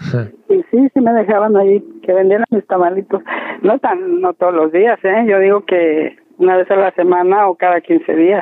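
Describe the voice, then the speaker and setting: A woman talks at a moderate pace in a medium pitch with ordinary pitch variation. It is a plain, everyday voice, and its loudness stays very even. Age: 60s. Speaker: plant nursery owner. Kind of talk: interview.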